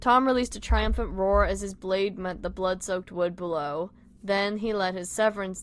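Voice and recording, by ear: Someone reads aloud in a natural voice.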